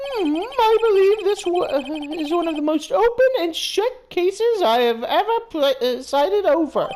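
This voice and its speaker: A female-sounding put-on character voice at an extremely high pitch, with very wide pitch swings, a moderate pace and hardly any pauses. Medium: game stream. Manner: condescending, imperious.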